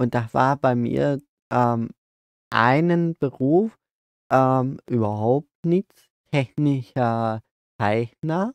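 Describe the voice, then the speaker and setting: Speaking at a very slow pace with long, frequent pauses, a man keeps a medium pitch and very even loudness, the sound dry with no echo against a quiet background. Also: ordinary pitch variation. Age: 20s. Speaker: podcast co-host. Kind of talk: casual chat. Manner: halting. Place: open country. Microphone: phone near.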